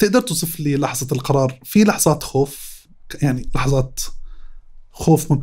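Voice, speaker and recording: A somewhat breathy, dark and mellow voice at a moderate pace, with ordinary pitch variation. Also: man, fairly high pitch for a man. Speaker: podcast host. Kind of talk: casual interview.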